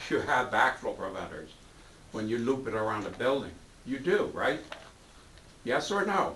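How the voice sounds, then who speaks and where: With very wide pitch swings and long, frequent pauses, the American-accented speaker keeps a moderate pace amid noticeable background noise and audible room echo. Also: man, medium pitch for a man. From New York. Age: 70s. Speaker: board member and valve engineer. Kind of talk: heated debate. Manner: animated.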